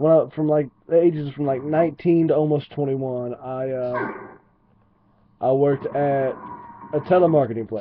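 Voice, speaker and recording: A man with an Appalachian accent, fairly high pitch, ordinary pitch variation and a moderate pace. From West Virginia. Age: 20s. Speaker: gaming commentator. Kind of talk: casual gameplay commentary storytelling. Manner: rambling with many fillers.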